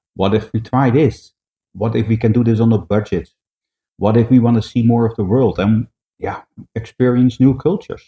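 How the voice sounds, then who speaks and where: Speaking at a moderate pace with a Dutch accent, a man uses a somewhat breathy, medium-pitched voice and fairly even intonation. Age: 60s. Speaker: vlogger. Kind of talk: casual vlog introduction.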